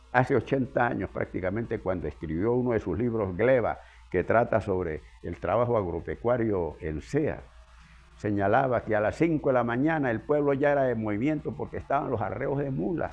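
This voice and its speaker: Music plays in the background while a man with a medium pitch talks at a moderate pace with lively intonation. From Venezuela, Andes (Zea, Mérida state). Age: 80s+. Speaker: geographer and local historian. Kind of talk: interview. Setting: at his home.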